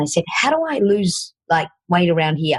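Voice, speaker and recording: Speaking in a strong Australian accent, a woman has a fairly low pitch and a somewhat breathy voice at a fairly quick pace. The sound is dry and close, with no echo. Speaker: fitness coach and podcast host. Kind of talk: podcast interview.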